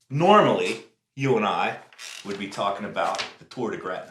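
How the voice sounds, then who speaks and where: This man's voice sits at a medium pitch, and the room's echo is clearly audible. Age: 60s. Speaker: podcast host. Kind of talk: casual chat.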